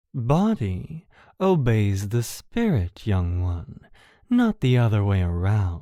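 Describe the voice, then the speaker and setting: A put-on character voice, low-pitched and very slow, on a very clean recording with a silent background. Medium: audio drama. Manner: calm, cryptic, serene.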